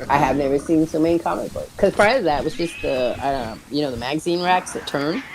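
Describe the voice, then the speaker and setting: Speaking at a very fast pace with hardly any pauses, the voice comes through over noticeable background noise. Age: 50s. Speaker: streamer playing a video game with friends. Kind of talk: casual chat while gaming. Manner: rambling, conversational storytelling.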